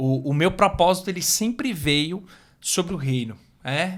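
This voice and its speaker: The pace is moderate and the pitch varies in an ordinary way. The recording is very clean with a silent background. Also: man. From Brazil, Fortaleza, Ceará. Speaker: motivational speaker. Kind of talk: podcast interview.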